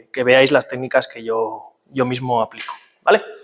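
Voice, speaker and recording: A man is speaking. His pace is moderate. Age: 20s. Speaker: physiotherapist. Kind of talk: workshop talk. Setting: talk with live audience. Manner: hesitant, many fillers.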